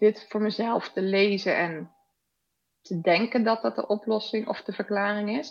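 A woman with a plain, everyday voice, fairly high in pitch, with ordinary pitch variation and a fairly slow pace. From Netherlands, Rotterdam. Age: 40s. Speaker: podcast guest sharing personal ADD story. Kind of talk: casual interview.

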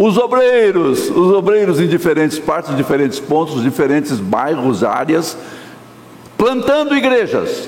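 A man talking fairly slowly with very wide pitch swings, amid audible room echo and noticeable background noise. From Brazil, Minas Gerais (born), raised São Paulo area. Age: old. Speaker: pastor. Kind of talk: sermon. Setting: church.

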